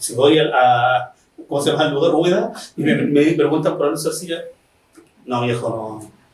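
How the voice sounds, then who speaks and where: This man's voice sits fairly high, with ordinary pitch movement, a moderate pace, long and frequent pauses, and audible echo from the room. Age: 50s. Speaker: bookseller and interviewer. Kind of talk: interview.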